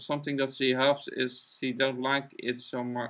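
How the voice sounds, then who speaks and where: In a very clean recording with a silent background, a man speaks at medium pitch. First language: not English. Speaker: artist live-streaming drawing. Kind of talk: casual chat during live stream. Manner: halting.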